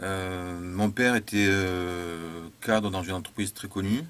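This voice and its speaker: This voice belongs to a man. It sits at a very deep, low pitch. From southern France, Montpellier area. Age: 40s. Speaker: political theorist and author. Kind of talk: personal monologue. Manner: halting, many hesitations.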